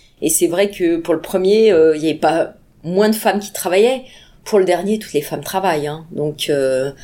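At a moderate pace, the voice carries a dark, mellow tone and ordinary pitch variation. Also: woman, fairly low pitch for a woman. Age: 50s. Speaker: bank sales executive. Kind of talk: interview. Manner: halting, many fillers.

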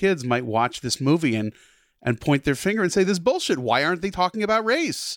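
Very wide pitch swings run through this man's speech, delivered with an American accent. The sound is dry and close, with no echo. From New Jersey. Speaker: film writer. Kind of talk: casual chat. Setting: video call.

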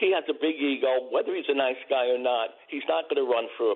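A man's medium-pitched voice with a New York accent, fairly quick pace and ordinary pitch variation. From Brooklyn, New York. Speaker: caller, retired court clerk. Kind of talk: casual chat. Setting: phone call.

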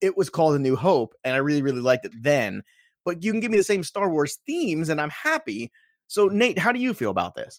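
A man with an American accent, fairly high-pitched, very fast and animated, energetic, with very wide pitch swings, on a very clean recording with a silent background and a dry, close sound with no echo. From New York. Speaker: podcast host. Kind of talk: casual chat.

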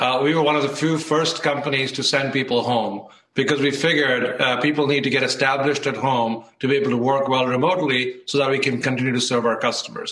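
A man talks at a fairly quick pace with a fairly high pitch. Noticeable background noise is present. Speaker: tech company CEO. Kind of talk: TV interview.

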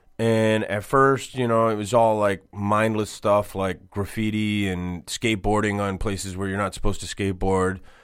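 A man's fairly low, monotone, flat voice in an American accent, with hardly any pauses, on a very clean recording with a silent background. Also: moderate pace. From Boston. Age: 40s. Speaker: tattoo artist and shop owner. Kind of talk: casual interview. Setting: radio studio.

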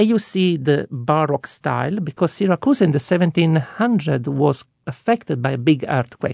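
In an Italian accent, a man speaks with lively intonation in a dry, close sound with no echo. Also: moderate pace. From Sicily. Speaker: tour guide. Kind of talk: interview.

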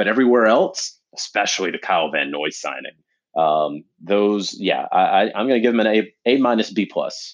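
Using an ordinary speaking voice, a man with a fairly low pitch talks at a moderate pace with lively intonation. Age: 30s. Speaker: NFL reporter. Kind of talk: casual chat.

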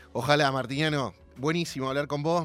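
Music plays in the background as a man with a Rioplatense accent talks at a moderate pace with ordinary pitch variation. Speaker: radio host. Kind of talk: radio interview. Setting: radio studio with guest on Zoom.

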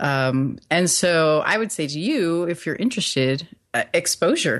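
The speaker goes at a fairly slow pace over a quiet background. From Puerto Rico, raised on US Army bases. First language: Spanish. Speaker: software developer and former translator. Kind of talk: casual chat. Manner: halting, many fillers.

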